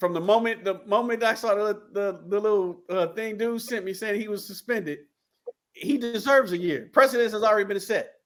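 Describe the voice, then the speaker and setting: A man of high pitch with an American accent, fairly quick pace and fairly even intonation. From East St. Louis, Illinois. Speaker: sports podcast co-host. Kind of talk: casual chat.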